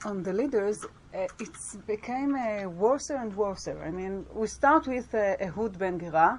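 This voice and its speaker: A woman talks at a fairly slow pace with lively intonation and a medium pitch. She speaks with a strong Israeli accent. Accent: Hebrew accent in English, strong. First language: Hebrew. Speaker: Bible scholar and teacher. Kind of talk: lecture. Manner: halting, with many fillers and restarts.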